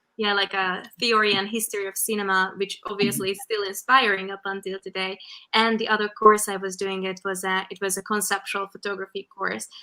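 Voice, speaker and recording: Using monotone, flat intonation, a woman with a Hungarian accent speaks in a medium pitch at a fairly quick pace with hardly any pauses. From Hungary (countryside). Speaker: fashion photographer. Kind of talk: interview.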